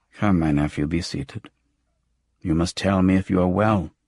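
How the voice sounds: Soft-spoken and raspy, a man does a put-on character voice in a very deep, low pitch, talking at a moderate pace with fairly even intonation.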